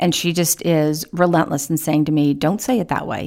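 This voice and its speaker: At a fairly quick pace, a woman talks in a very deep, low pitch. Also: very clean recording, silent background. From Baltimore, Maryland, then moved around as a child. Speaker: foster care policy advocate. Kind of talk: interview.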